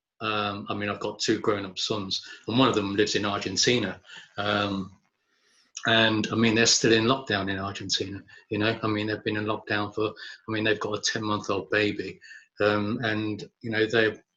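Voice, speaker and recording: A man speaks at a moderate pace with long, frequent pauses, his fairly low voice bright and sharp in tone and flat, monotone in intonation. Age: 60s. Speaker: poet. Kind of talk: interview. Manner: hesitant, many fillers.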